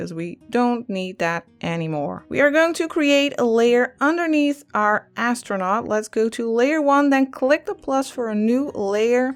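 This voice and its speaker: Speaking in a high pitch with a Dutch accent, a woman uses lively intonation at a fairly slow pace with hardly any pauses, on a very clean recording with a silent background. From Netherlands. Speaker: digital art teacher. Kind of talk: tutorial.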